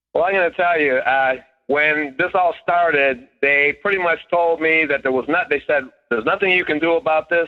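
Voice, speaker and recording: Delivered at a moderate pace, an ordinary speaking voice keeps very even loudness and ordinary pitch variation. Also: man, fairly high pitch for a man. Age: 60s. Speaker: caller. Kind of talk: testimony. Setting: phone call.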